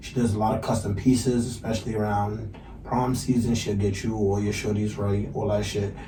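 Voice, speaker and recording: A fairly low male voice with an American accent, fairly quick and monotone, flat in delivery, amid noticeable background noise and audible room echo. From New York, Brooklyn (East Flatbush). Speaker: rapper and podcast co-host. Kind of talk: casual interview chat. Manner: stutters.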